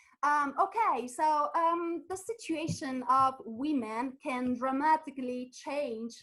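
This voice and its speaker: A woman with an Italian accent speaks in a high pitch. Her pace is fairly slow. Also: hardly any pauses. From Italy. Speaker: physicist and science communicator. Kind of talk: webinar presentation. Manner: halting, many fillers.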